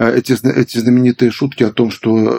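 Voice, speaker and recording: A man's ordinary speaking voice, medium in pitch, at a moderate pace, with a dry, close sound and no echo. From Belarus. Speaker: gerontologist, medical professor. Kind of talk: interview, expert conversation.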